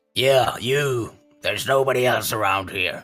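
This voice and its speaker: A man performs a put-on character voice at a medium pitch with a raspy sound. Faint music plays in the background. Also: moderate pace. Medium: actual play. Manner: blunt, loud.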